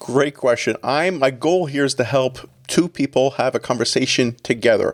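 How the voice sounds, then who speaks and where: This man has a slight Canadian accent and a fairly high pitch, speaking at a moderate pace with very even loudness. The sound is dry and close, with no echo. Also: ordinary pitch variation. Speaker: executive pastor. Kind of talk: podcast interview.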